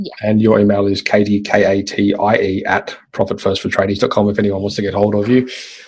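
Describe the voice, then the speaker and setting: Speaking at a fairly quick pace with hardly any pauses, a man with an Australian accent uses a fairly low, somewhat breathy voice and monotone, flat intonation. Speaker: podcast host. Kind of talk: interview conversation.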